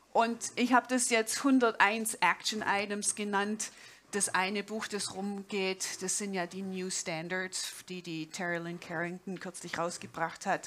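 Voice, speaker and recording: With a slight Swabian accent, a woman speaks at a fairly slow pace with fairly even intonation. Her loudness swings widely, and light background noise is present. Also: medium pitch for a woman. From Swabia, southern Germany. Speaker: jazz pianist and professor; speaker. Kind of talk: conference talk. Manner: informal, with hesitations. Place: stage. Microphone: headset.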